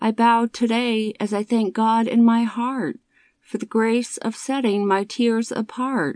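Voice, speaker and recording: A plain, everyday voice from a woman at a fairly high pitch, fairly slow and fairly even in intonation, with a dry, close sound with no echo against a quiet background. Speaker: poetry narrator. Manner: rhythmic, earnest; measured, devotional.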